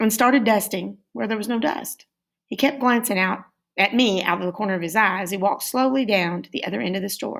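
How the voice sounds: Heard over a quiet background, a natural reading voice carries ordinary pitch variation.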